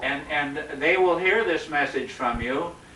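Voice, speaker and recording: A man speaks at a fairly slow pace with ordinary pitch variation. Noticeable background noise is audible behind him. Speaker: former student interviewer. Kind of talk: interview questions.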